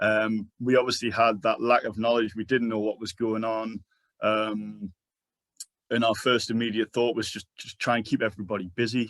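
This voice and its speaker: Speaking at a moderate pace with a slight Geordie accent, a man keeps a medium pitch in a monotone, flat intonation. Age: 40s. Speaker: sports charity manager. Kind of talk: conference presentation.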